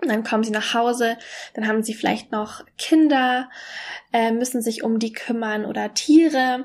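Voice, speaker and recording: Very clean recording with a silent background. A woman with a normal speaking voice and fairly high pitch speaks fairly slowly, her intonation fairly even. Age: 20s. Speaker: podcaster and mentor for women. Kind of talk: personal monologue. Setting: alone at home.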